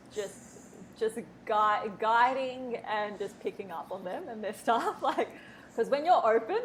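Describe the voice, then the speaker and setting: In an Australian accent, a woman with a fairly high pitch speaks fairly slowly with lively intonation over noticeable background noise. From Australia, Melbourne. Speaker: spiritual mentor. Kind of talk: casual interview chat. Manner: halting, many restarts.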